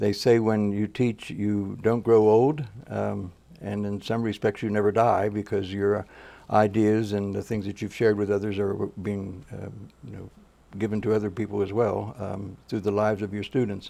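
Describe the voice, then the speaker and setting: A man speaks at a moderate pace in a dark, mellow tone. His intonation is monotone and flat, and the background is quiet. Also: fairly low pitch for a man. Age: 70s. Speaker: education professor. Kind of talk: interview. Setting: studio. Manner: halting, many fillers.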